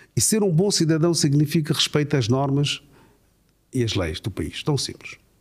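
A fairly high-pitched man with vocal fry and lively intonation, at a moderate pace broken by long, frequent pauses. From Mozambique. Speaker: imam. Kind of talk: interview.

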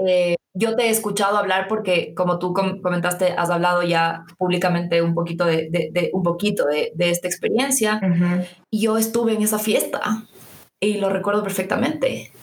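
A woman with a plain, everyday voice, at a moderate pace, with fairly even intonation and very even loudness. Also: medium pitch for a woman. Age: 20s. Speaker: podcast host. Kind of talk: casual interview.

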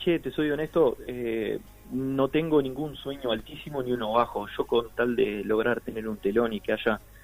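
A man at medium pitch with music in the background. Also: ordinary pitch variation, moderate pace. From Uruguay, Artigas (northern border). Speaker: singer-songwriter. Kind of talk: radio interview.

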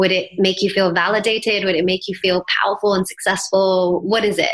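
In an American accent, a woman with medium pitch and an unremarkable speaking voice talks at a moderate pace. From England, then Miami, Florida from age 11. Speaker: mindset coach and yoga teacher. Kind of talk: interview.

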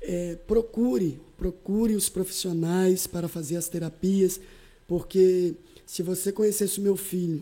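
Her voice has a dark, mellow tone, and this woman speaks at a medium pitch with fairly even intonation. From Espírito Santo, Brazil (Alegre). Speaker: pastor. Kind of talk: podcast interview.

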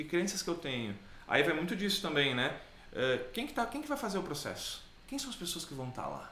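With very wide pitch swings and a high pitch, a man talks at a fairly quick pace amid audible room echo and noticeable background noise. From Caxias do Sul, southern Brazil. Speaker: business trainer. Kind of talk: casual chat.

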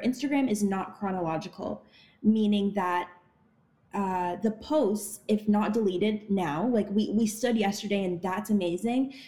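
Her voice is dark, mellow and somewhat breathy, a woman at medium pitch with ordinary pitch variation and a moderate pace. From Ottawa, Canada. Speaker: actress and activist. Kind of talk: interview.

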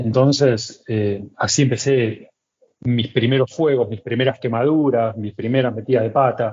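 The speaker is a man with a medium pitch. Some breathiness runs through his voice. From Argentina, Buenos Aires. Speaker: chef. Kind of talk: casual chat.

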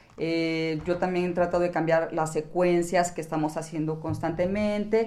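A woman's fairly low-pitched voice, dark and mellow in tone, with fairly even intonation at a moderate pace. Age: 60s. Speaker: yoga instructor and podcast co-host. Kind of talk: casual chat.

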